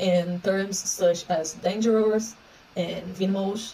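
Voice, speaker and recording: A woman with a Portuguese accent, fairly even intonation and light background noise. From Brazil. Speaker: researcher. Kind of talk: conference talk. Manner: halting. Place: home room. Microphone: phone near.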